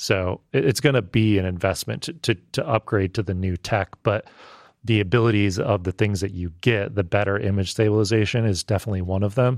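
Over a quiet background, with a dry, close sound and no echo, a man of fairly low pitch speaks at a fairly quick pace in an unremarkable speaking voice with ordinary pitch variation. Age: 30s. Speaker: video producer and filmmaker. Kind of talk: casual chat.

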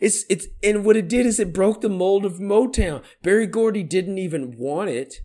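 An American man speaks at a moderate pace with hardly any pauses, in a high pitch with a dark, mellow tone. His pitch variation is ordinary. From Sacramento area, California. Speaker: podcast co-host. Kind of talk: casual chat. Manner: animated.

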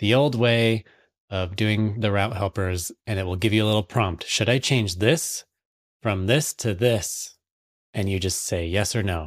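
An unremarkable speaking voice from a man, fairly low in pitch and at a fairly slow pace, in a very clean recording with a silent background. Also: ordinary pitch variation. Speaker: podcast co-host. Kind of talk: news roundup.

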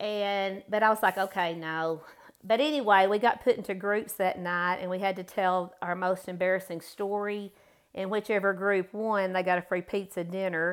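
On a very clean recording with a silent background, a woman speaks in an ordinary speaking voice at medium pitch and a moderate pace. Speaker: guest, mother, flower expert. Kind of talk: casual interview chat.

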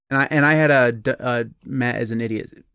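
Recorded very cleanly against a silent background, a man with an ordinary speaking voice talks at a medium pitch, the sound dry and close with no echo. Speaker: podcast host. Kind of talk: casual chat. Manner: joking, tangent-prone.

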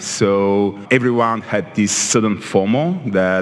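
With noticeable background noise present, a man talks in a fairly low register, his pitch varying in an ordinary way. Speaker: podcast co-host, tech CEO. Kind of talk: panel discussion, live. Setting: live recording with audience. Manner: joking, playful.

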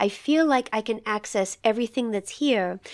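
With an American accent, a woman uses a plain, everyday voice at fairly high pitch with ordinary pitch variation, in a dry, close sound with no echo on a very clean recording with a silent background. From not from the Midwest. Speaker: podcast host and poetry reader. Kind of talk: poetry discussion and reading aloud.

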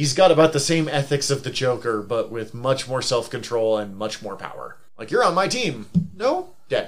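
Here a man with an ordinary speaking voice and medium pitch talks at a moderate pace with lively intonation and hardly any pauses. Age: 30s. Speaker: podcast co-host. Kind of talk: casual chat.

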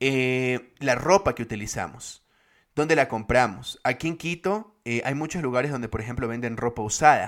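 This man has an unremarkable speaking voice, with a medium pitch, ordinary pitch variation and a moderate pace, on a very clean recording with a silent background. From Guayaquil, Ecuador. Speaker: podcast co-host. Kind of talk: casual chat.

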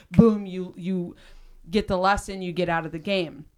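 The pace is moderate. It belongs to an unremarkable speaking voice. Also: woman. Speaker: podcast host. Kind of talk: casual chat.

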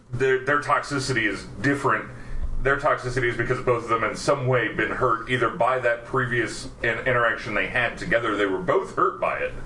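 Amid noticeable background noise, a man talks at a fairly quick pace in a flat monotone. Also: medium pitch for a man. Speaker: actor and podcast host. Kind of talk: casual chat.

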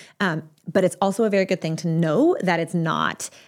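A woman with an American accent speaks at a medium pitch and a moderate pace in an unremarkable speaking voice. The recording is very clean, with a silent background. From Texas. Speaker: marriage and family therapist. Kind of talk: advice monologue answering a listener question.

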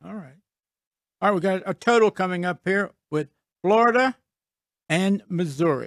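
A man's high voice, dry and close with no echo, in a very clean recording with a silent background. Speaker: veteran bookmaker. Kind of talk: reading bets aloud in casual chat. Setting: studio.

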